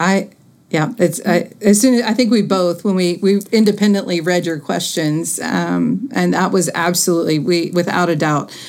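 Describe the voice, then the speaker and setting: A woman with an American accent speaks at a moderate pace and fairly low pitch, with vocal fry. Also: ordinary pitch variation. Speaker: niece of Nancy Cruzan, educator.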